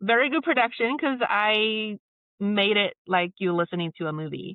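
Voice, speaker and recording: Her pitch medium and her intonation lively, a woman speaks at a moderate pace. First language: not English. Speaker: filmmaker and voice-over artist. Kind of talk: podcast interview.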